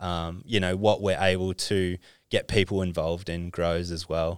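Speech comes at a fairly slow pace with an Australian accent and a monotone, flat intonation. The recording is very clean, with a silent background. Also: man. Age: 30s. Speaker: sports agent. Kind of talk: casual chat.

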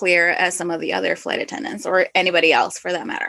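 This is a woman with a Spanish accent. Her pitch sits in the medium range. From Northwest Indiana, US. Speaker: flight attendant podcast host. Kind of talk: casual chat.

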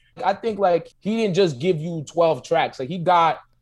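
A man with a New York accent speaks at a moderate pace and a fairly high pitch. The recording is very clean, with a silent background. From Long Island, New York. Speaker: rapper and comedian. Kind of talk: casual interview chat.

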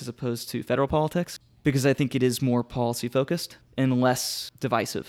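The voice is an ordinary speaking voice. Its intonation stays fairly even. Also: man. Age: 20s. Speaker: political candidate. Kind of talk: casual interview.

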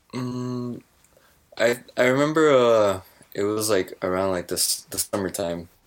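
Fairly slow and pitched at a medium level, a man's normal speaking voice moves with ordinary pitch variation. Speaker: podcast co-host and streamer. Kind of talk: casual chat.

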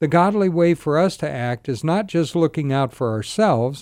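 A man's fairly high voice with a dark, mellow tone and lively intonation, at a moderate pace, on a very clean recording with a silent background. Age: 60s. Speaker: pastor and rescue mission director. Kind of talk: radio talk show interview.

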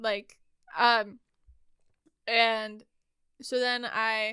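Very clean recording, silent background, of a woman with an American accent, fairly high pitch and a bright, sharp tone. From Montana. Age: 20s. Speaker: podcast host, church worker. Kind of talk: casual chat.

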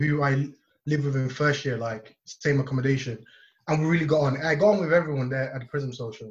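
Somewhat breathy, a man talks at a fairly quick pace with a fairly high pitch. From Nigeria. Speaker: university law student, student society president. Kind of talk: casual interview. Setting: video call.

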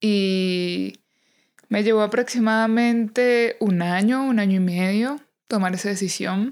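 A woman of medium pitch at a very slow pace, with fairly even intonation and very even loudness. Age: 30s. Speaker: podcast host. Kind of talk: personal monologue. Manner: warm, intimate.

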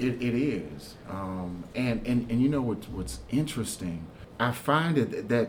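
Lively intonation from a man with an American accent, medium pitch and moderate pace, plus audible room echo. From Houston, Texas. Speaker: pastor. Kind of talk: interview about faith. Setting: church. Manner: repetitive, stammering restarts.

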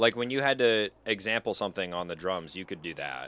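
An ordinary speaking voice, a man at medium pitch is heard on a very clean recording with a silent background. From US Pacific Northwest.

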